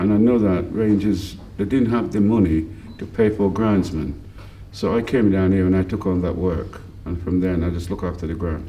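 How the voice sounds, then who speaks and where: At a moderate pace, a man with a very deep, low voice and a dark, mellow tone keeps his intonation fairly even amid audible room echo. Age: 60s. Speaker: football club volunteer groundsman and team manager. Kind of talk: interview.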